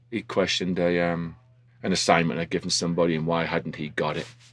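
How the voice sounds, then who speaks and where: Very deep and low, a man's voice carries the clip. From industrial northern England. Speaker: snowboard instructor and ski school manager. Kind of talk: casual interview.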